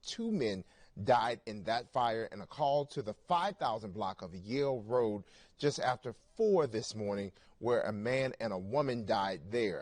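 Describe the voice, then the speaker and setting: Against a quiet background, a man uses a normal speaking voice at medium pitch, speaking at a fairly slow pace with ordinary pitch variation. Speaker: TV news anchor and reporter. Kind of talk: morning newscast anchor read.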